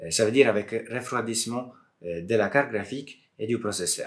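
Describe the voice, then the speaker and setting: This man talks at a moderate pace with an Italian accent. His pitch is medium and varies in an ordinary way. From Southern Italy. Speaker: software developer and PC modder; streamer. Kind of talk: casual talk to camera.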